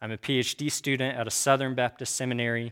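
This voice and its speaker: A man with a Midwestern American accent talks at a fairly quick pace in a very clean recording with a silent background, the sound dry and close with no echo. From Kansas. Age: 30s. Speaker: church teacher. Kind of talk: lecture. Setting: room with audience.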